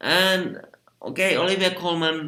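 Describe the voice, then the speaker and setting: A man speaks with a Finnish accent. His tone is bright and sharp. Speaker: film critic. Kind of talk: casual vlog commentary. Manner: halting, many fillers; unscripted.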